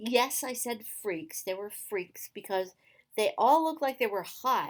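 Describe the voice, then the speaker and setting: In a very clean recording with a silent background, a woman speaks at a fairly high pitch in an animated tone with lively intonation. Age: 60s. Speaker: YouTuber and activist. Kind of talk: casual vlog monologue. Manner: halting, many repetitions and fillers.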